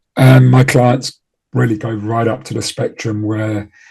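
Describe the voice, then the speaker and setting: A somewhat breathy, dark and mellow voice moves at a moderate pace with ordinary pitch variation. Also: man. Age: 60s. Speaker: trading performance coach. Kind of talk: interview. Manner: halting, with fillers and repeated words.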